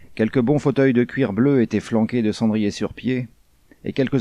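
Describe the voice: Someone does plain reading aloud here.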